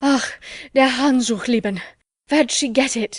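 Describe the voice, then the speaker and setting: Putting on a character voice, a woman speaks at a high pitch and a moderate pace with ordinary pitch variation. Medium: read story.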